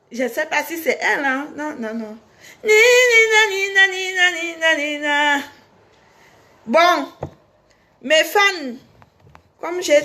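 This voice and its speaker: Raising and projecting her voice, a woman speaks at a very slow pace and an extremely high pitch, with very wide pitch swings. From Cameroon. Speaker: singer and online personality. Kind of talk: casual monologue to fans.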